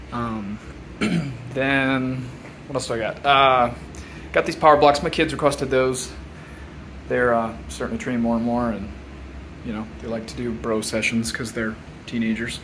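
A man at a moderate pace, with ordinary pitch variation, long, frequent pauses and light background noise. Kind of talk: casual tour narration. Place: home room. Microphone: phone near.

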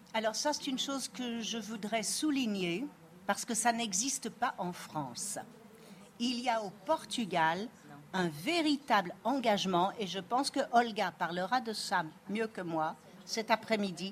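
Words come at a fairly slow pace. There is a somewhat breathy quality to the voice. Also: woman, fairly high pitch for a woman. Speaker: historian and moderator. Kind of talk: conference talk. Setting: stage with audience.

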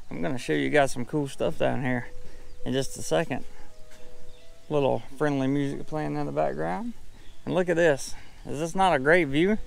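A man speaks in a dry recording with no echo at all. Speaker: travel vlogger. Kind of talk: casual vlog chat. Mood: upbeat, admiring. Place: garden. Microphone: phone near.

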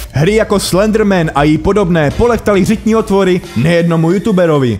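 Music plays in the background as a man talks at a fairly quick pace and high pitch, with ordinary pitch variation and very even loudness. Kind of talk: humorous narration of a video compilation. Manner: sarcastic, joking.

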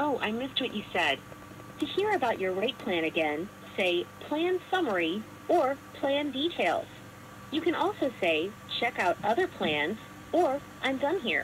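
A woman speaks at a fairly slow pace, with long, frequent pauses. Her pitch is high, and there is light background noise. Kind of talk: recorded menu prompts.

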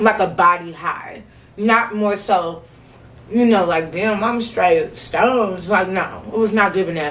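A woman with an American accent talks at a fairly slow pace, her medium pitch rising and falling in an ordinary way. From St. Louis, Missouri. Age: 20s. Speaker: vlogger. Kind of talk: casual talk to camera. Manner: chatty, casual. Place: home room. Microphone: camera far.

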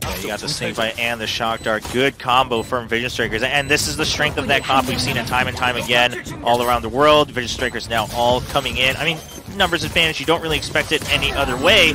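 Very fast male speech at a medium pitch with hardly any pauses, ordinary pitch variation and noticeable background noise. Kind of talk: esports analyst commentary. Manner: conversational, analytical, reactive.

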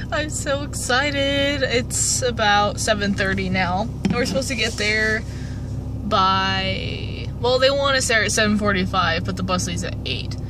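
Over noticeable background noise, a woman speaks at a very slow pace in a dry sound with no echo. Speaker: vlogger. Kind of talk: casual vlog chat. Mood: excited, chatty. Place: car. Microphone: phone near.

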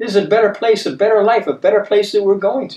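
Audible room echo surrounds a man's high-pitched voice, though the background stays quiet. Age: 70s. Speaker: bible teacher. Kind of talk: bible study teaching. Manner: conversational, repeats himself. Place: studio.

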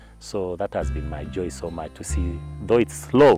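A man with a very deep, low pitch at a fairly slow pace, dry sound with no echo and faint music in the background. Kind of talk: interview answer. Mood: warm, often smiling. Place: garden. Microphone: lapel.

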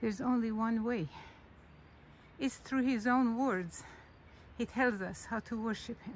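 A woman speaks at a fairly slow pace with ordinary pitch variation, the sound dry and echo-free, with light background noise. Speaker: religious reflection narrator. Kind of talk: casual reflective talk, sermon-like. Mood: calm, reflective. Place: forest. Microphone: phone near.

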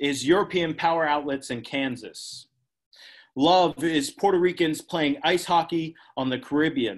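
In a quiet background, a man with a fairly high pitch talks at a fairly slow pace with ordinary pitch variation. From Pennsylvania. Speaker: poet. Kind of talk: poetry reading. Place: home room. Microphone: video call.

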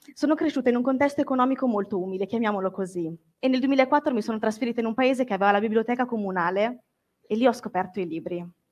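A woman at a fairly high pitch and very fast pace, with ordinary pitch variation. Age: 20s. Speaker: book content creator. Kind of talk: public talk. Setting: stage with audience.

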